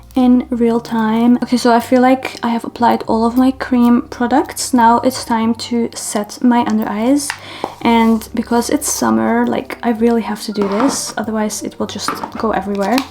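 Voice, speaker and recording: A woman with a non-native accent speaks at a moderate pace in a fairly high, monotone, flat voice, with noticeable background noise. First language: not English. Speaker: beauty vlogger. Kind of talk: makeup tutorial, casual chat. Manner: casual, chatty.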